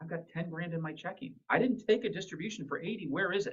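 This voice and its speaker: A man speaks fairly quickly at a fairly high pitch, with vocal fry. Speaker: business consultant. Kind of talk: presentation. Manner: fast; casual.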